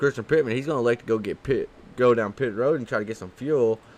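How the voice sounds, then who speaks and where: A man speaks in an animated tone. He has a slight Southern accent. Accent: slight southern twang. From Kentucky. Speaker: sim racing commentator. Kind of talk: live commentary. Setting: broadcast booth.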